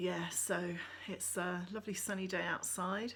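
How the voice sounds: The intonation stays fairly even in this natural reading voice.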